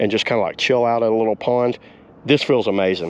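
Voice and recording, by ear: A man at medium pitch, talking at a fast pace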